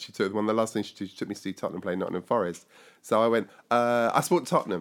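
A man with a southern English accent, fairly low pitch and ordinary pitch variation, on a very clean recording with a silent background. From southern England (Surrey, west London). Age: 50s. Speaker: pastor and inclusion consultant. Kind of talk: life story interview. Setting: recorded on location in London.

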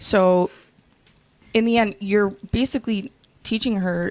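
A woman talks in a normal speaking voice. Her intonation is fairly even. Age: 20s. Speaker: panel guest. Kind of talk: casual panel debate. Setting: studio.

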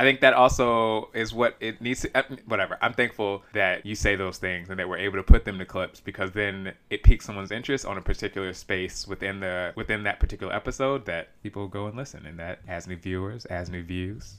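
An ordinary speaking voice belongs to a man with an American accent who talks at a fairly low pitch and fairly quick pace with hardly any pauses, fairly even intonation and big swings in loudness. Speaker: podcast host. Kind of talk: casual chat.

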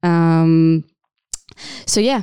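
A woman with an Israeli accent speaks at a very slow pace with fairly even intonation, in a very clean recording with a silent background and a dry, close sound with no echo. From Israel (Tel Aviv). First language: Hebrew. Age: 30s. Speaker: social entrepreneur and dancer. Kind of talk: interview. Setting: studio. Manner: hesitant, many fillers.

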